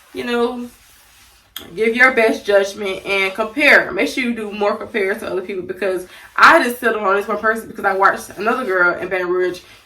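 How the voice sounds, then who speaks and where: Noticeable background noise accompanies a woman who speaks fairly quickly. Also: medium pitch for a woman, ordinary pitch variation. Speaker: beauty and lifestyle vlogger. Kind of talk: casual story time vlog. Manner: fast.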